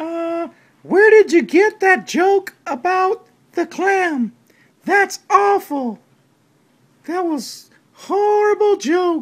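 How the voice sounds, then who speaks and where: In a cartoonish character voice, the speaker talks at an extremely high pitch and a very slow pace. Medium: puppet. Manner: hesitant.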